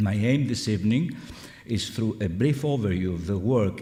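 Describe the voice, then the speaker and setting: Amid audible room echo, a man with a non-native accent talks at a moderate pace in a fairly low pitch with ordinary pitch variation. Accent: foreign. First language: Greek. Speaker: scholar. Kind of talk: lecture.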